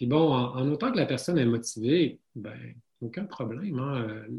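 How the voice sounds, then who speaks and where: A man speaks very slowly in a dark, mellow voice of medium pitch. It is somewhat breathy, with ordinary pitch variation. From Quebec, Saguenay. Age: 40s. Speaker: osteopath and running author. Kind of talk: interview.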